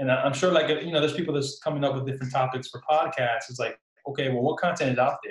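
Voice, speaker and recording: A man speaks very fast at a fairly high pitch, his intonation fairly even while his loudness swings widely. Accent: New Jersey. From Newark, New Jersey; Puerto Rican family. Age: young. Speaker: entrepreneur, salesman. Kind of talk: casual interview chat.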